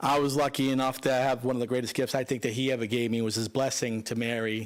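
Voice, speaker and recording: Fairly quick speech in a Boston accent. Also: man. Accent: thick Boston. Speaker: son-in-law of the deceased. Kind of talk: eulogy. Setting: funeral home, speaking at microphone.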